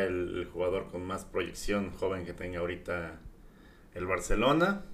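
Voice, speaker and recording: Audible room echo hangs around a man speaking at a fairly low pitch with fairly even intonation. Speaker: football podcast host. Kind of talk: casual chat.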